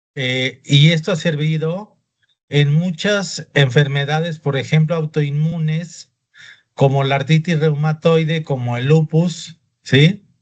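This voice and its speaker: A man at a very slow pace, fairly high in pitch, with fairly even intonation. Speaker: doctor teaching a class. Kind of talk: lecture.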